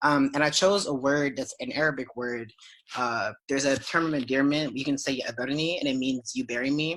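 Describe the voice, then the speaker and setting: A man speaking at a fairly quick pace in an unremarkable speaking voice, with ordinary pitch variation. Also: fairly high pitch for a man. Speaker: poet. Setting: video call.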